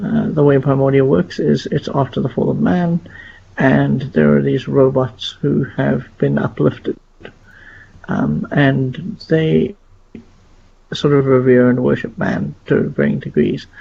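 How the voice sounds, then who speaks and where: A quiet man at a fairly slow pace. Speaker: gaming podcast host. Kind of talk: casual podcast discussion. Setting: at home, live stream. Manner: quiet, hushed.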